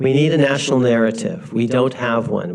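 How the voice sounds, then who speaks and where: A man with an American accent and ordinary pitch variation over noticeable background noise. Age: 60s. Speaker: law professor. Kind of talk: lecture. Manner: animated; halting.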